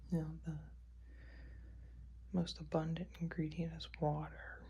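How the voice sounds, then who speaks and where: The delivery is relaxed in tone and very slow in pace. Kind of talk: ASMR manicure video, casual talk to camera. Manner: slow, relaxed, quiet.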